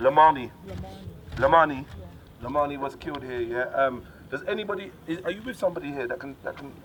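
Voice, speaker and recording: A man with a fairly high voice speaks at a fairly quick pace, and noticeable background noise can be heard. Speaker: community activist. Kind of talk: addressing a crowd at street vigil. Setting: outdoors, street gathering. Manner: loud, shouting.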